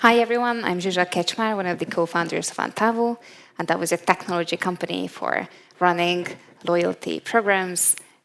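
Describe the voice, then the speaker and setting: Fairly low in pitch, a woman speaks fairly quickly in a Hungarian accent with fairly even intonation. The recording is very clean, with a silent background. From Hungary. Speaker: tech company co-founder. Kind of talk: panel discussion. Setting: stage with audience.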